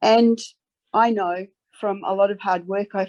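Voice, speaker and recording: A woman speaks with a slight Australian accent. Her pitch is medium and her intonation fairly even. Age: 60s. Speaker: advocate. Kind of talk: formal submission. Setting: parliamentary select committee hearing. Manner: earnest, emphatic.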